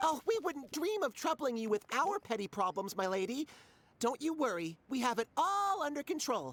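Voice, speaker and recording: A put-on character voice speaks at a high pitch. It moves at a moderate pace with very wide pitch swings. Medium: fan dub. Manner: polite, wry.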